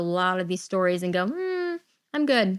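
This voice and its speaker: A woman's normal speaking voice at medium pitch and moderate pace, very clean recording with a silent background. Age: 30s. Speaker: podcast host with type 1 diabetes. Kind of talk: personal podcast monologue. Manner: conversational with filler words.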